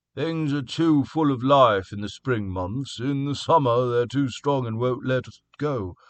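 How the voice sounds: In a put-on character voice, a man talks at a moderate pace with hardly any pauses, his medium-pitched voice shaky and his loudness swinging a lot.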